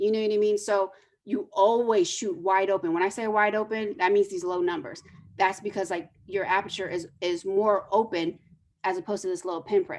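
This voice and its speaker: A plain, everyday voice from a woman, at a medium pitch, moderate in pace, with ordinary pitch variation. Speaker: photojournalist teaching photography. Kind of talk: lecture. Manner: casual, filler-heavy.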